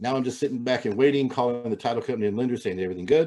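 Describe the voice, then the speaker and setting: Against a quiet background, a man talks with a dark, mellow tone. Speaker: real estate agent and trainer. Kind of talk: training webinar. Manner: fast; halting, many fillers.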